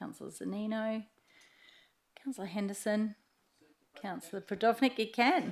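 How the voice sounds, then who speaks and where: In an Australian accent, a woman speaks at a moderate pace and a fairly high pitch. Her voice is somewhat breathy. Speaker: mayor chairing meeting. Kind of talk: meeting chairing.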